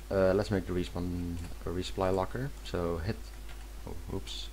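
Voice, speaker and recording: The voice has vocal fry and a non-native accent, with audible room echo. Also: man. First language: not English. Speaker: video game mapping tutorial creator. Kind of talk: tutorial. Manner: halting, many self-corrections.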